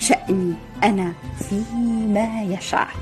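A woman with a medium-pitched voice talks while music plays behind her. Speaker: author reading a poem. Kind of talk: poetry reading.

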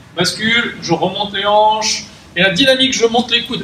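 A man speaks in a raised, projected voice. The recording has audible room echo and light background noise. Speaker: fitness coach. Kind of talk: tutorial. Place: gym. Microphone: camera far.

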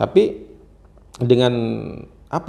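A man is speaking. His tone is dark and mellow, with vocal fry. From Banten, Indonesia. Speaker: businessman and local political candidate; interview guest, young contractor. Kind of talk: interview. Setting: workshop. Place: home room. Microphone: lapel.

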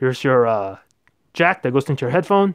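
The voice moves at a moderate pace against a quiet background, the sound dry with no echo. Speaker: tech reviewer. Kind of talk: tutorial. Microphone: phone near.

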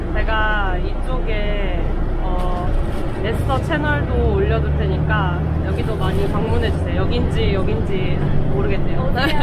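Fairly slow speech over loud background noise. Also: woman. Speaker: vlogger. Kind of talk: casual vlog chat. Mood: cheerful, smiling.

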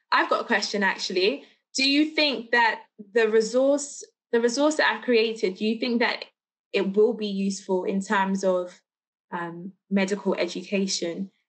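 With a London accent, a woman talks at a moderate pace, her pitch fairly high and its variation ordinary. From London, England. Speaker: teacher and lecture speaker; teacher, lecture speaker. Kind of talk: lecture. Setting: video call. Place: home room. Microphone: video call.

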